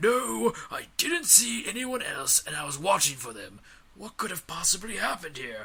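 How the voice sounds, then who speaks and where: Putting on a character voice, a man speaks at a high pitch and a moderate pace. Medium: read story. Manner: formal, precise, condescending.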